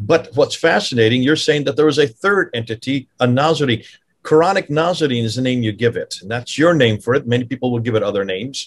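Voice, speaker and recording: A man talking at a very fast pace, with ordinary pitch variation, against a quiet background. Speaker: podcast host. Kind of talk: interview discussion. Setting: video call. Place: home room. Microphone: video call.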